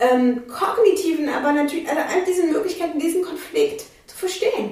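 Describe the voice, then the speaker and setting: Noticeable background noise is present throughout. Over it, a woman's pitch swings very widely. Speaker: activist and legal scholar. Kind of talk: angry rant. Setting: studio. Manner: angry, emphatic, hammering rhetorical questions.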